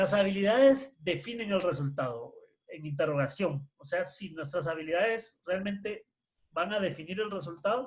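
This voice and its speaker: The intonation is lively. The pace is fairly slow. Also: man. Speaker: workshop presenter on education. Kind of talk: online workshop lecture.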